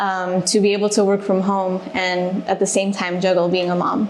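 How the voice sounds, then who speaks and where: At a moderate pace, a woman with an American accent speaks at a medium pitch over noticeable background noise. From Alaska, US (Juneau). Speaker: reservations manager. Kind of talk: podcast interview.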